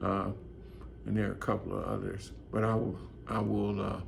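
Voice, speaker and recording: Audible room echo hangs around the voice. A man talks at a moderate pace. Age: 60s. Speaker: fragrance reviewer. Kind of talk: product review monologue. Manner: halting, many fillers.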